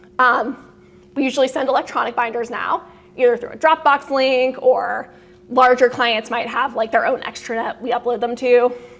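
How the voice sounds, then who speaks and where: With noticeable background noise behind her, a woman speaks in a high pitch with monotone, flat intonation. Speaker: lawyer giving CLE presentation. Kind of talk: lecture. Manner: fast.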